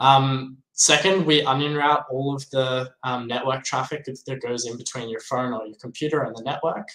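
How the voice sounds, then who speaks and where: Speaking in an Australian accent, a man keeps a moderate pace with hardly any pauses. His intonation is fairly even. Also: medium pitch for a man. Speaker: crypto software developer. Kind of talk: interview.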